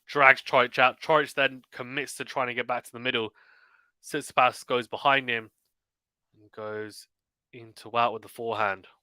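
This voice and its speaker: Bright and sharp in tone, a man with a British accent speaks at a medium pitch in a flat monotone, on a very clean, dry, close recording with a silent background and no echo. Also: big swings in loudness. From UK. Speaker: tennis commentator and streamer. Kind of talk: live commentary. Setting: live stream. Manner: fast; clear.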